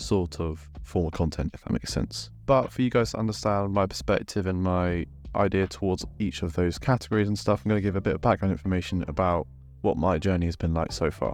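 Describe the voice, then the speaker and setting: Very deep and low, a man's voice rushes along at a very fast pace with lively intonation. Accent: British. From UK. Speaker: fitness and football YouTuber. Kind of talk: casual vlog monologue.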